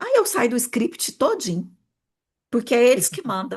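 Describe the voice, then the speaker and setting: The voice is somewhat breathy and animated in tone, set against a quiet background. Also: woman. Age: 40s. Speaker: therapist and mentor. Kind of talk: online workshop talk.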